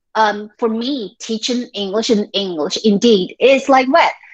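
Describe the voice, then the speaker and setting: In a Taiwanese accent, a woman with a fairly high pitch talks at a fairly slow pace. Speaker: high school English teacher. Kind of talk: workshop lecture. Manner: conversational, with frequent fillers.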